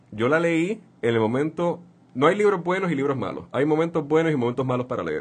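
At a fairly quick pace, a man speaks with lively intonation in a fairly high pitch. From Puerto Rico, Santurce. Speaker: writer. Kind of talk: interview. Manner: halting.

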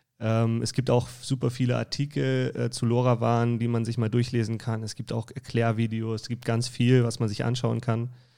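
In a very clean recording with a silent background, a man with a dark, mellow tone and medium pitch talks at a moderate pace with hardly any pauses and monotone, flat intonation. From northern Germany, Kiel. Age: 30s. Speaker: energy consultant. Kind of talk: casual chat. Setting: studio.

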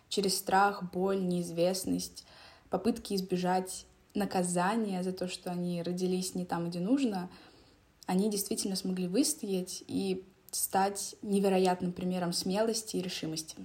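Speaking at a fairly slow pace, a woman with a medium pitch and somewhat breathy delivery keeps her intonation fairly even in a very clean recording with a silent background. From Donetsk, eastern Ukraine. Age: young. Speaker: podcast host. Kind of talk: personal monologue.

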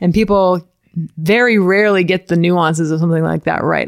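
A normal speaking voice with an American accent, fairly quick and fairly even in intonation, in a dry, close sound with no echo and a very clean recording with a silent background. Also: woman. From Florida, US. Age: 30s. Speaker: CrossFit author and communicator. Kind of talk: casual chat. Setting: in person at host's home.

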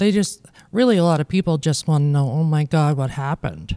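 A woman with a very deep, low pitch and a dark, mellow tone speaks with ordinary pitch variation, the sound dry and close with no echo. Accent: Canadian Prairie. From Manitoba, Canada. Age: 40s. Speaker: amputee. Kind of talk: interview.

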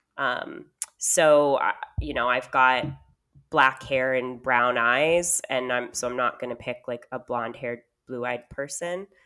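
Speaking with an American accent, a woman uses a very deep, low pitch and a bright, sharp tone, keeping fairly even intonation at a fairly slow pace. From California, US. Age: 30s. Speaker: podcaster, prospective single parent. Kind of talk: casual interview.

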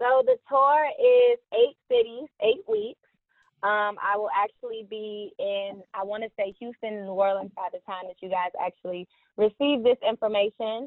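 Her loudness swings a lot as a woman talks in a normal speaking voice, fairly high in pitch with ordinary pitch variation. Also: fairly slow pace. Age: 20s. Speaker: marketing strategist and e-commerce coach. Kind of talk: casual interview chat.

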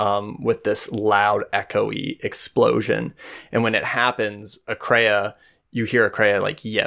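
A natural reading voice is what this recording holds.

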